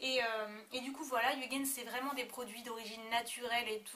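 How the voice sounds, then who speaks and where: A woman's fairly high, bright and sharp voice at a moderate pace with fairly even intonation. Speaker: beauty vlogger. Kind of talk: product review vlog. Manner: hesitant, many fillers.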